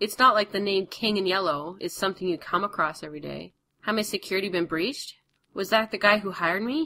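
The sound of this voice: Against a quiet background, an unforced reading voice moves through ordinary pitch variation.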